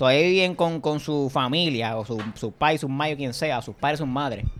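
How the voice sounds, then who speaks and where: A man with a Puerto Rican accent, fairly high-pitched, with lively intonation at a moderate pace. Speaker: podcast host. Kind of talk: casual chat. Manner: animated.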